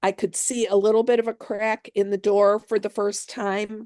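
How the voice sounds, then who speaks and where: An unremarkable speaking voice moves at a moderate pace, with a quiet background and a dry, close sound with no echo. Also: woman. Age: 60s. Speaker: author. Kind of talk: interview.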